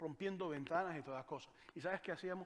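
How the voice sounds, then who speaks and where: A man speaks at a very fast pace with a Venezuelan accent. His pitch is high. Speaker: pastor. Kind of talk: sermon.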